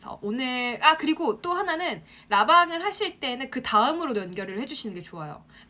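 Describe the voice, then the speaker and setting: Her pitch is high and swings very widely. The woman moves at a fairly quick pace, with big swings in loudness. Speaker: online marketing instructor. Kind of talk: live-stream class for students. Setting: Instagram live broadcast. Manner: fast.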